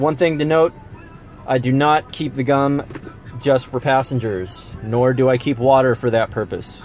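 Faint music plays behind a man who speaks at a fairly slow pace. His pitch varies in an ordinary way, and the sound is dry with no echo. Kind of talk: casual vlog tutorial. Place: car. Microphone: phone near.

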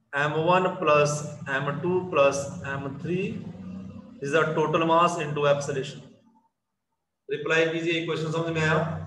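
A man talks with ordinary pitch variation, his voice carrying audible room echo. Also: fairly high pitch for a man. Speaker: physics teacher. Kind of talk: online class lecture.

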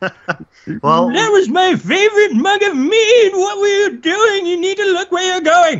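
The voice is extremely high-pitched and moves at a fairly slow pace. It runs on with hardly any pauses. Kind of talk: improvised tabletop roleplay voice. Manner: indignant, exasperated.

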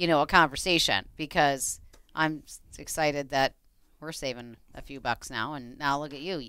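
A woman with an American accent speaks at a moderate pace in a bright, sharp tone, with a dry sound with no echo and a quiet background. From Minnesota. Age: 50s. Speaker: radio co-host and realtor; radio show co-host. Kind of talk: radio talk show. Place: studio. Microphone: headset.

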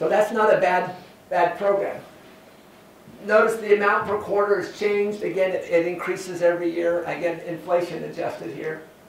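Speaking with an American accent at a moderate pace, this voice keeps a fairly even intonation over light background noise and audible room echo. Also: man, high pitch for a man. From California (San Joaquin Valley). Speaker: university professor. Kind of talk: lecture. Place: classroom.

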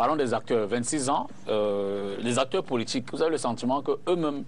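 Speaking at a fairly slow pace, a man uses a plain, everyday voice of medium pitch with ordinary pitch variation. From Cameroon. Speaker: TV debate host. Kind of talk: televised political debate. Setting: TV studio. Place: studio. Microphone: lapel.

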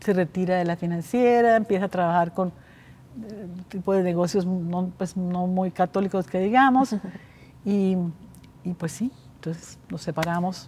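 A woman speaks at a moderate pace in a dark, mellow, somewhat breathy tone, with ordinary pitch variation, big swings in loudness, and long, frequent pauses. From Colombia. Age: 70s. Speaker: bank founder; interview guest. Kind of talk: interview. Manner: halting. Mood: reflective, candid. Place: hall.

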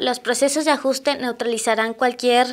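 The delivery is fairly slow with fairly even intonation. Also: woman. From Mexico. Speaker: student presenter; presenter. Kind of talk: reading aloud. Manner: halting. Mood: giggly, stumbling over words. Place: studio. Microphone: lapel.

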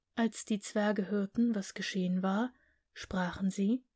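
In a calm tone, the speaker moves at a very slow pace. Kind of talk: scripted fairy tale narration, read aloud. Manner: storytelling tone, calm and expressive.

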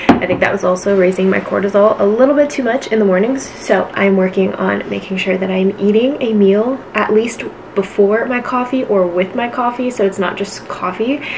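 This woman talks at a moderate pace with hardly any pauses. Her pitch varies in an ordinary way over light background noise. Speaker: lifestyle vlogger. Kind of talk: casual vlog chat. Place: home room. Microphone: camera far.

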